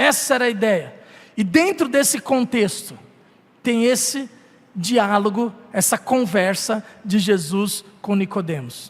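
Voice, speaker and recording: A man with a high pitch and lively intonation, at a very slow pace with long, frequent pauses. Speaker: pastor. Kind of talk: sermon.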